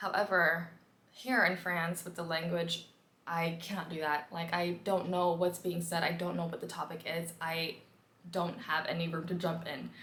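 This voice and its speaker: Audible room echo surrounds a woman with a fairly low voice who speaks with an American accent. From US, Washington DC. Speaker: vlogger. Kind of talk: casual vlog talk. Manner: fast; animated.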